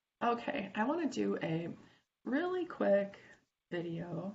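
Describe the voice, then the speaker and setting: A woman's voice with vocal fry and long, frequent pauses, amid audible room echo. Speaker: CAD instructor. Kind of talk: tutorial. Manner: casual, with fillers.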